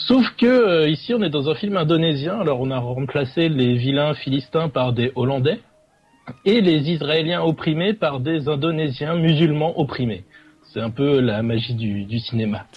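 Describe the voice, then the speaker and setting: The speech comes at a fairly slow pace with lively intonation over noticeable background noise. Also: man, fairly high pitch for a man. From Dunkirk, northern France. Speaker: film segment presenter. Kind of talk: casual chat.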